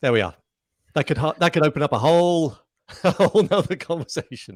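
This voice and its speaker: Vocal fry runs through speech delivered at a very fast pace, with a dry, close sound, no echo, and a very clean recording over a silent background. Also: man, fairly high pitch for a man, lively intonation. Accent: Southern English. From Southern England. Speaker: breathwork instructor. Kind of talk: interview. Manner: trained actor's diction.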